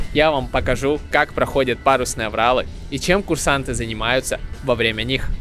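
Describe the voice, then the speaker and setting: Clear music plays in the background of this dry recording with no echo. A man talks at a moderate pace with ordinary pitch variation. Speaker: cadet vlogger. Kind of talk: casual vlog chat. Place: boat. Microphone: handheld.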